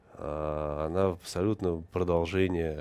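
Very slow, monotone speech in a dark, mellow tone with flat intonation. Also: man. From Moscow, Russia; Russia. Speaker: TV journalist. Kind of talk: interview. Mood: subdued, mourning. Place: studio. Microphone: lapel.

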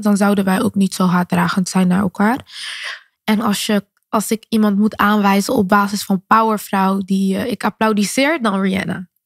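Recorded dry with no echo and a quiet background, a woman speaks at a moderate pace with fairly even intonation. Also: very even loudness. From Netherlands, Rotterdam; Netherlands. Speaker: singer and influencer; podcast guest. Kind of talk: interview. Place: studio. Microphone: studio mic.

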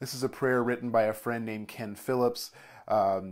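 The voice has a calm tone and fairly even intonation. The background is quiet. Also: man. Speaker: church leader. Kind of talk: fervent prayer, led aloud to a congregation. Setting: online video for church community. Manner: slow, calm, reverent, deliberate; warm, gentle, soothing. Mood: calm, reverent. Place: home room. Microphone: lapel.

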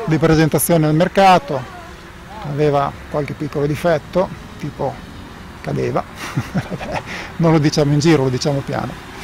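A man speaks at a moderate pace with fairly even intonation and long, frequent pauses. The sound is dry with no echo, under light background noise. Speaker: drone reviewer pilot. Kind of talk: live commentary. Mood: relaxed, lightly joking. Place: open country.

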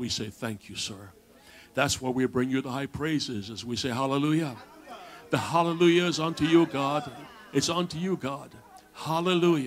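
Over light background noise, a man talks at a moderate pace with long, frequent pauses and ordinary pitch variation. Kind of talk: public prayer. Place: church.

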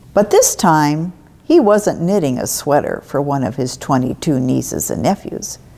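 Dark, mellow female voice at a fairly slow pace. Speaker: storyteller. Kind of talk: children's story read-aloud. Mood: warm, gentle storytelling. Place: church.

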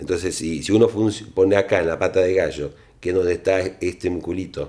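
Against a quiet background, a man speaks with a very deep, low pitch and a dark, mellow tone. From Argentina. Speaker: plastic surgeon. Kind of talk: interview. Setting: doctor's office. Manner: halting. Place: office.

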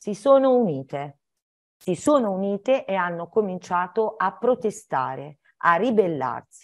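Her pitch swinging very widely, a woman talks at a fairly slow pace. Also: quiet background. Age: 60s. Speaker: children's author and teacher; teacher. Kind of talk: talk for schoolchildren. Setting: video call. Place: home room. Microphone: video call.

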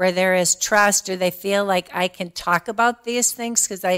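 A woman's medium-pitched, unremarkable speaking voice at a moderate pace, with fairly even intonation and a dry, close sound with no echo. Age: 60s. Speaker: diversity and inclusion director. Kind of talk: casual chat.

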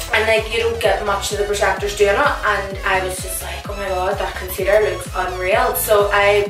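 A woman talks at a moderate pace with clear music in the background and audible room echo. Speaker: beauty vlogger. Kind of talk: casual vlog chat. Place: home room.

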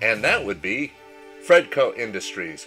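The speech moves at a moderate pace, with music in the background. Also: man. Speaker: high school chemistry teacher. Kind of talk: educational lecture narration.

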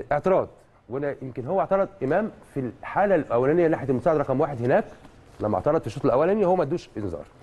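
A man with an Egyptian accent speaks very fast, with very wide pitch swings and vocal fry. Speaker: refereeing analyst. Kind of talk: TV match analysis. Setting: studio. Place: studio.

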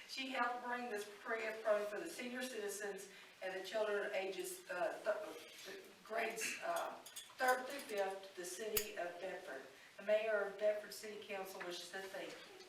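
This woman's voice sits fairly high and moves with ordinary pitch variation at a moderate pace. Her loudness swings a lot, with audible room echo and noticeable background noise. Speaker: city council member. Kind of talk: public meeting presentation.

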